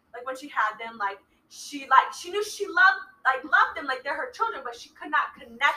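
A woman speaks at a fairly quick pace in a raised, projected voice, her bright, sharp tone set high and moving through very wide pitch swings and big swings in loudness. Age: 20s. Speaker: expectant mother. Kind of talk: casual chat.

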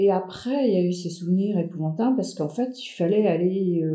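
A woman speaks with a dark, mellow tone at medium pitch. Her voice is somewhat breathy, with ordinary pitch variation. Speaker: family storyteller. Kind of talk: casual chat. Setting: shared microphone with relative. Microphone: shared mic, sound slightly worse than usual.

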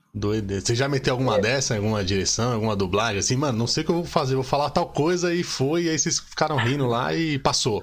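A man talks at a very fast pace with hardly any pauses, in a medium pitch with lively intonation. His loudness is very even, and there is noticeable background noise. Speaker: podcast host. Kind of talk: casual chat. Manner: animated.

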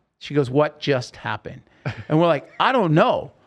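A man with an American accent talks at a fairly quick pace and a fairly high pitch. His intonation is lively, and the background is quiet. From Oregon, US. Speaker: rock singer and podcast host. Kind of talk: casual interview storytelling. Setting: studio.

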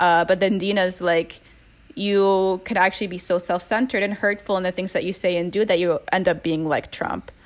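This is a woman with an ordinary speaking voice. She talks in a medium pitch at a moderate pace. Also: fairly even intonation. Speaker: guest co-discussant. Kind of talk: casual chat.

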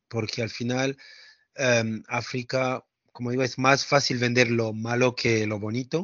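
A plain, everyday voice at a fairly slow pace with fairly even intonation. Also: man. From France. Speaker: travel entrepreneur. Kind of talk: interview.

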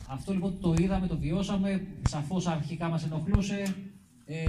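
Audible room echo surrounds a man with a high pitch. He keeps a moderate pace and ordinary pitch variation. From Kymi area, Euboea, Greece. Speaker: mountaineering club president. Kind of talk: public talk.

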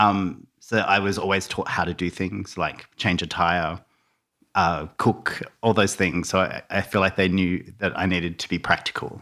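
A man speaks in an Australian accent with a very deep, low pitch and a bright, sharp tone at a moderate pace. His intonation is monotone and flat, and the recording is very clean with a silent background. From Tasmania and Melbourne, Australia. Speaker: interior stylist and designer. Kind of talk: casual interview chat.

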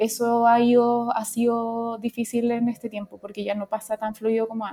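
With a Chilean accent, a woman speaks in a dark, mellow tone at a fairly high pitch, her intonation monotone and flat, with hardly any pauses. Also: moderate pace. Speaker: UX designer. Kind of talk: casual chat. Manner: halting.

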